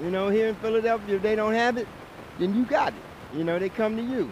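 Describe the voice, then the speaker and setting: The man's high pitch carries ordinary pitch variation at a very fast pace. Noticeable background noise runs underneath. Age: 60s. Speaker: passerby, retiring music industry worker. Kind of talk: street debate.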